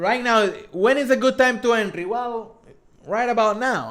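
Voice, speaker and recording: A man with a strong Spanish accent at a moderate pace. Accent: thick Spanish. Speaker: crypto streamer. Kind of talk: live stream Q&A. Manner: casual, halting with repeated words.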